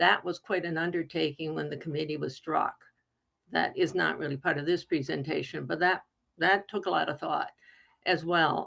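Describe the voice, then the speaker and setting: This woman's voice carries vocal fry and ordinary pitch variation. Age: 70s. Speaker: retired professor. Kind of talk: video call discussion.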